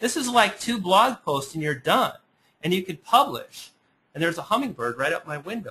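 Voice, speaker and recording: This man projects a raised voice with a bright, sharp tone, pitched high and swinging very widely up and down. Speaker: internet marketing webinar presenter. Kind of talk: webinar presentation. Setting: webinar. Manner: fast; animated.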